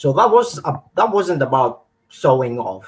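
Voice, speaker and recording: A man with a Greek accent, a fairly high pitch, a somewhat breathy voice and a moderate pace. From northern Greece. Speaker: menswear brand founder. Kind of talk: interview. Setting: live stream.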